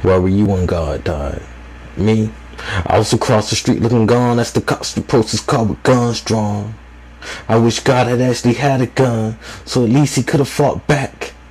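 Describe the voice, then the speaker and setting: A man talks at medium pitch. There is noticeable background noise. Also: ordinary pitch variation, moderate pace. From United States. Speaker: spoken word poet. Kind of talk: slam poetry performance.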